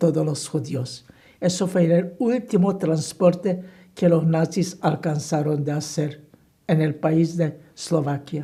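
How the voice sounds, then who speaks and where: A woman speaks at a very slow pace in a fairly low voice with a dark, mellow tone. Her delivery is somewhat breathy, with ordinary pitch variation. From Slovakia. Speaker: Holocaust survivor. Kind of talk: oral history interview answer.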